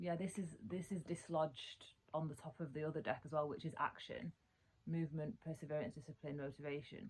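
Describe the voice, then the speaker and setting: A woman talks at a fairly quick pace in a very deep, low pitch. Her voice is somewhat breathy, with ordinary pitch variation. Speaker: tarot card reader. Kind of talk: casual talk to camera.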